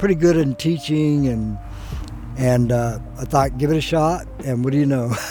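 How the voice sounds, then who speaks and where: Music in the background and audible room echo around a man talking at a moderate pace. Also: medium pitch for a man, ordinary pitch variation. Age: 70s. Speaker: freeskater. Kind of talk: interview testimony.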